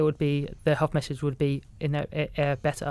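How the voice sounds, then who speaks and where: The recording is very clean with a silent background. A man speaks at a fairly high pitch. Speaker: community engagement worker. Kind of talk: interview. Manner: halting, many fillers.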